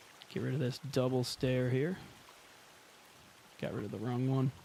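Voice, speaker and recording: Amid noticeable background noise, a man speaks in a deadpan tone at a fairly quick pace with fairly even intonation. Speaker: gaming streamer. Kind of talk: live gameplay commentary.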